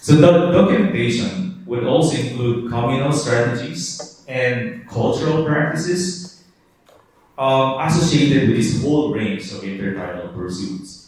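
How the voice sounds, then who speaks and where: A man talks rather slowly, his pitch rising and falling dramatically, with clearly audible noise behind him. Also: medium pitch for a man. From Philippines, Cuyo Islands, Palawan. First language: Cuyonon. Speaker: linguistics professor. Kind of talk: lecture.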